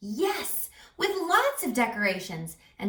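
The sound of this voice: A reading voice, unforced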